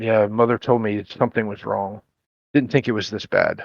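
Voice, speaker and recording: In a put-on character voice, a man speaks at a moderate pace with a raspy, medium-pitched sound, his intonation monotone and flat, the recording dry and close with no echo. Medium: actual play.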